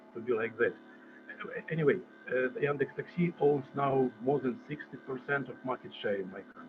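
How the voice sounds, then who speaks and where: Over music in the background, a man with a Russian accent speaks at a moderate pace and medium pitch. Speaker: conference presenter. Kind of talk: conference presentation. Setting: video call. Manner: halting, many repetitions and fillers.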